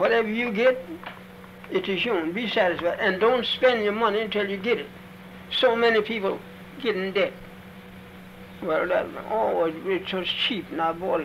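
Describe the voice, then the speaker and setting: Against noticeable background noise, a man with an American accent and a high pitch talks at a moderate pace, with ordinary pitch variation and long, frequent pauses. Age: 80s+. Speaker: former slave. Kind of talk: interview answer. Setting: old archival recording.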